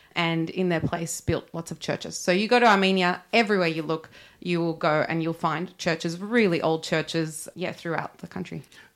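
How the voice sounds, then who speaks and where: A woman with an Australian accent speaks at a moderate pace with fairly even intonation and hardly any pauses, in a very clean recording against a silent background. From Australia, Sydney. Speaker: church ministry worker. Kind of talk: interview.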